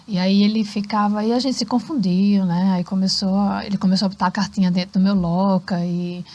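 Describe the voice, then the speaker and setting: In a fairly quick pace with hardly any pauses, a woman talks with a dark, mellow, somewhat breathy tone at medium pitch. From Brazil, Recife, Pernambuco. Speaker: cultural centre founder and former English teacher. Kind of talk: podcast interview. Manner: animated.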